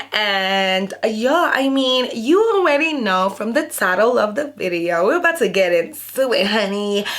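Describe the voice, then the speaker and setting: At a fairly slow pace and with hardly any pauses, the speaker uses an animated tone with very wide pitch swings, with audible room echo and noticeable background noise. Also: woman, fairly high pitch for a woman. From sub-Saharan Africa. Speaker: YouTuber. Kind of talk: casual storytime vlog.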